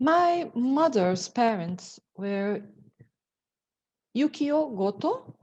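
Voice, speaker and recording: A woman with a Portuguese accent, fairly high pitch, and very wide pitch swings, at a very slow pace with long, frequent pauses. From Brazil, São Paulo. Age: 50s. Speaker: lawyer. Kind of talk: presentation. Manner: halting.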